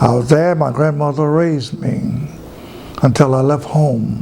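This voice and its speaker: Amid noticeable background noise and audible room echo, a man with a fairly high pitch speaks at a fairly slow pace with fairly even intonation. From US South, rural Georgia. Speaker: pastor. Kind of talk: life story interview.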